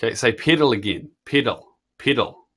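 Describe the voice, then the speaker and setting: This is a man speaking. He talks with a New Zealand accent. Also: very clean recording, silent background. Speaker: guitar teacher. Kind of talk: live stream chat reading viewer comments. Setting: live stream. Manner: casual, filler-heavy.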